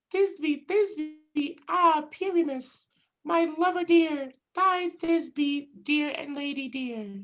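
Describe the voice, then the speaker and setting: Squeaky and high, this put-on character voice crawls along at a very slow pace. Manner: exaggeratedly dramatic, theatrical.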